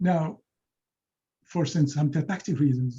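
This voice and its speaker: A man with a Moroccan accent speaks at a fairly high pitch, somewhat breathy, with a dark, mellow tone and ordinary pitch variation. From Morocco. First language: Moroccan Arabic. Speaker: linguistics professor; presenter. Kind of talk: lecture. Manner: halting, many repetitions and fillers. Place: home room. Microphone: webcam.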